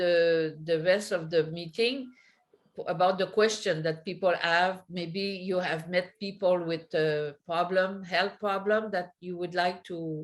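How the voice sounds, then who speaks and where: A woman speaks very slowly in a strong French accent. Her pitch is medium and her intonation fairly even. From Quebec, Canada. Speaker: network marketing presenter. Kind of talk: online business presentation.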